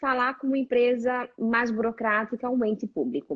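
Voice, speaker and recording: This woman has a high-pitched voice. She speaks with a Brazilian accent. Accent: Brazilian accent in Italian. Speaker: career coach. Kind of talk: casual chat.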